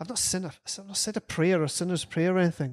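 A man's high-pitched, animated voice at a very fast pace. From Scotland. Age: 30s. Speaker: addiction recovery coordinator. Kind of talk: casual interview chat. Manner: animated, humorous.

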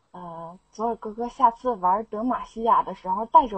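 The speaker is a woman with a fairly high voice. Crowd noise fills the background. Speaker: student. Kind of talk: casual chat. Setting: online voice chat room. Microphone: blowing into mic, mic problems.

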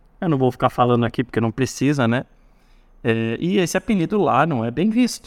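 Speaking at a fairly quick pace with lively intonation, a man at medium pitch has a plain, everyday voice, captured dry and close with no echo. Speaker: university course coordinator, former student racing team member. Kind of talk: casual interview.

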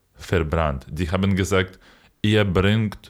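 A man is talking. Nothing can be heard behind him on this very clean recording. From Ukraine, Kyiv region. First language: Ukrainian or Russian (speaking German). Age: 20s. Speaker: podcast co-host. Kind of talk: casual chat.

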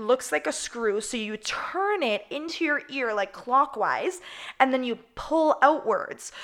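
Loud and animated, a woman with a high pitch speaks at a fairly slow pace, her voice making very wide pitch swings. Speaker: podcast host. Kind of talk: casual chat.

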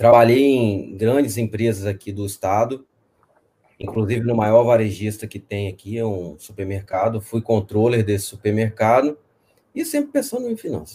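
A man talks at a moderate pace with a medium pitch and fairly even intonation. His tone is dark, mellow and somewhat breathy. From Espírito Santo, Brazil. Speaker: fintech executive. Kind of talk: live interview.

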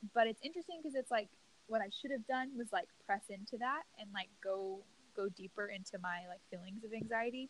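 A fairly high-pitched woman with an American accent, somewhat breathy, lively in intonation and fairly quick. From US South, Louisiana. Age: 20s. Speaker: podcast host. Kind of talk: casual interview.

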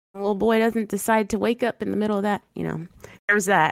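This woman has an unremarkable speaking voice pitched fairly high. Her intonation is lively. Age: 30s. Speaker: streamer and mother. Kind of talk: interview.

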